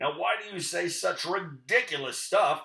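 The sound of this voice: A man's put-on character voice, gruff and growling, high-pitched, at a moderate pace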